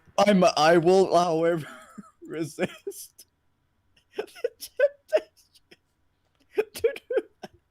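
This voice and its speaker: The speech moves at a very slow pace with long, frequent pauses and big swings in loudness. The sound is dry and close, with no echo. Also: man. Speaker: livestream comic reader. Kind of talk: casual chat.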